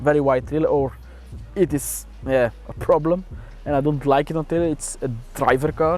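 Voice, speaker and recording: A man's voice, fairly high-pitched for a man, with music playing behind it. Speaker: car owner. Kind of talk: casual interview monologue. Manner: halting, many fillers.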